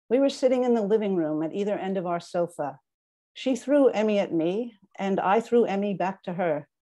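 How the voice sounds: A natural reading voice comes through. There is a quiet background behind it.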